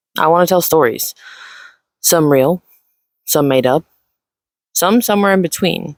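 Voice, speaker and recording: The speaker is soft-spoken. Long, frequent pauses break up the speech. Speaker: video creator. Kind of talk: personal reflection. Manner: slow.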